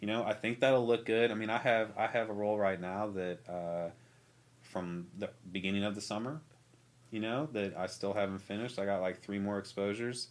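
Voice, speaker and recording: Here is a man with a plain, everyday voice and an American accent, fairly low in pitch. He talks at a fairly quick pace with fairly even intonation. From St. Charles, Missouri, US Midwest; Missouri. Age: 30s. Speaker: artist and photographer; podcast guest. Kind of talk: casual chat. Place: studio. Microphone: studio mic.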